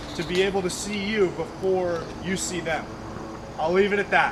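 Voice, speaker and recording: Noticeable background noise and audible room echo accompany a man's high-pitched voice. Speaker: nature vlogger. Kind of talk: casual outdoor vlog narration. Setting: outdoors in woods.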